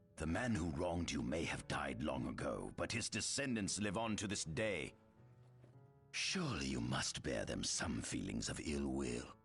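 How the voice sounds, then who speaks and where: A man uses a put-on character voice, very deep and low in pitch. Clear music plays in the background. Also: moderate pace. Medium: video game. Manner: smooth, ingratiating.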